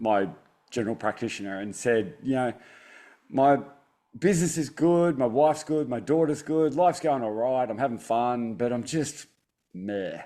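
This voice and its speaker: Over a silent background in a very clean recording, a man with an Australian accent uses a dark, mellow tone at medium pitch, with lively intonation at a moderate pace. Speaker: optometrist and stress resilience author. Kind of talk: interview conversation. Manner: halting, repeats words.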